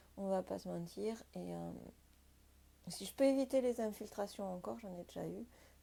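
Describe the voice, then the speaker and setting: A woman speaks at a moderate pace, her loudness swinging widely, with long, frequent pauses. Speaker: sailing and boat-life vlogger. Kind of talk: casual vlog talk to camera. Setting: inside a boat, rain outside. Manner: hesitant, many fillers.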